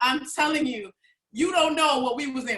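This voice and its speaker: A woman's high-pitched, animated voice at a moderate pace. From New York City, the Bronx. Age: 40s. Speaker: vendor, holistic product maker. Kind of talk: personal testimony at a live online event. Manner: animated, expressive storytelling.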